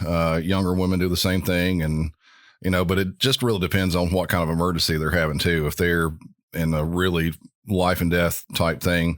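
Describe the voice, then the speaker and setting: The recording is very clean, with a silent background. A man speaks with a very deep, low pitch. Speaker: 911 dispatcher. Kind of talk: interview.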